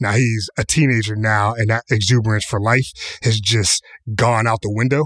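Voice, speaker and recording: A man's normal speaking voice, medium in pitch, with fairly even intonation at a moderate pace, the sound dry and close with no echo. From US, Pittsburgh. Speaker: podcast host, creative strategist. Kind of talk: casual chat.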